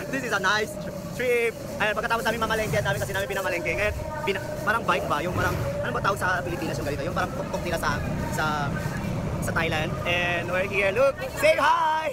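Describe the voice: A man's high-pitched, fast voice over clear background noise. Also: ordinary pitch variation.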